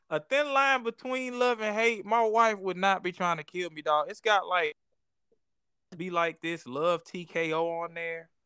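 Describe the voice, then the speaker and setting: In a Southern US accent, a man projects a raised, bright, sharp voice at high pitch and a fairly slow pace, his intonation lively and the sound dry and close with no echo. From US South, Georgia. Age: 30s. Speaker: comedian. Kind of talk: casual chat.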